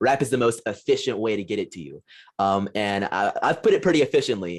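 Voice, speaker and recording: The background stays quiet while a man speaks at a fairly quick pace. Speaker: political commentator and rapper. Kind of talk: podcast interview. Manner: fast.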